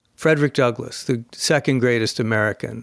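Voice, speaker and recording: A man speaks at a moderate pace with a plain, everyday voice. His intonation is fairly even. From United States. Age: 60s. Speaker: author and think-tank scholar. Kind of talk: podcast interview.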